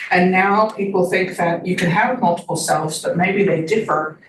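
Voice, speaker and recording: Her voice a plain, everyday voice, a woman talks at a fairly quick pace and medium pitch with fairly even intonation. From Canada. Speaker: social psychology professor. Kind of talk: academic seminar talk.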